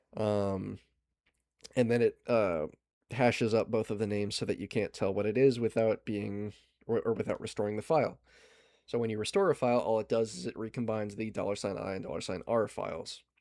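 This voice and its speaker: Using a dark, mellow tone, a man talks at a fairly quick pace in a fairly low pitch with fairly even intonation. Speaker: digital forensics presenter. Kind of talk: lecture. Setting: video call. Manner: fast.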